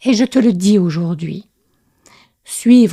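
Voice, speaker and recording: The voice is somewhat breathy with a dark, mellow tone, heard as a dry, close sound with no echo on a very clean recording with a silent background. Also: woman. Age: 60s. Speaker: spiritual podcaster and intuitive writing coach. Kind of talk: podcast monologue. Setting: voice note recording.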